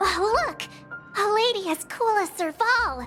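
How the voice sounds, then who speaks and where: Over faint music in the background, a woman uses a cartoonish character voice at an extremely high pitch, moving at a fairly slow pace. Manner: bubbly, excitable.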